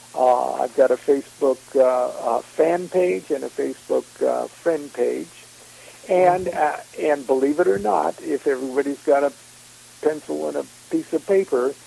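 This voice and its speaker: A man is talking at a moderate pace. Background noise is noticeable throughout. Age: 60s. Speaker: occult author and speaker. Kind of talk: casual interview chat. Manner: halting, many fillers.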